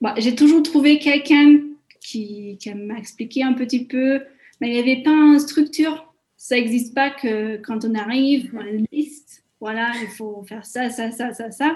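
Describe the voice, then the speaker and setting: A fairly slow pace with ordinary pitch variation and big swings in loudness, in a very clean recording over a silent background. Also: woman, high pitch for a woman. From Hungary, Budapest. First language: Hungarian (speaking French). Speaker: community coordinator. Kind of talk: interview. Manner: hesitant, many fillers.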